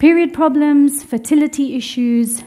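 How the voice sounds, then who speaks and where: Noticeable background noise sits behind a woman whose pitch variation is ordinary. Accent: British. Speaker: religious teacher. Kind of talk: lecture.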